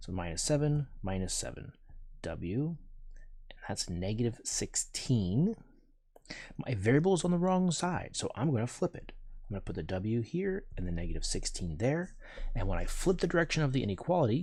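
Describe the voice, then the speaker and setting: Somewhat breathy, a man at medium pitch speaks at a moderate pace with very wide pitch swings, on a very clean recording with a silent background. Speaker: math teacher. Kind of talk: tutorial.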